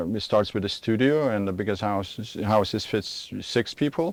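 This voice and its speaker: Someone with a Lithuanian accent speaks at a fairly slow pace on a very clean recording with a silent background. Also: man. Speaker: vacation rental owner. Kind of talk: TV interview. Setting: outdoors. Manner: halting.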